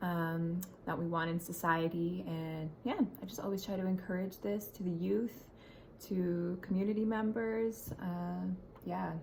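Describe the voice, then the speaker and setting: A woman with a normal speaking voice and fairly low pitch. She talks at a fairly slow pace with lively intonation. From Ontario, Canada. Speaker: spoken word poet. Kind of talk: casual introduction to camera.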